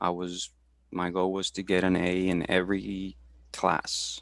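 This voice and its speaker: With a Spanish accent, a man speaks at a very deep, low pitch in a monotone, flat way, with dry, close sound, no echo, and a very clean recording with a silent background. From Houston, Texas. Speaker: supervisor for veterans, career talk presenter. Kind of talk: career talk interview. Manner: halting, many fillers and repetitions.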